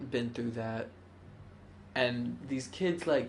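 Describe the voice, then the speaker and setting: Audible room echo surrounds a very slow speaker whose pitch varies in an ordinary way. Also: man. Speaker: interviewee. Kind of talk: personal interview.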